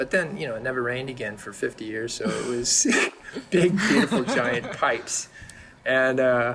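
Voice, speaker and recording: Lively intonation in an American accent at a moderate pace, over noticeable background noise. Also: man. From California, San Diego. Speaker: painter. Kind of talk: casual chat.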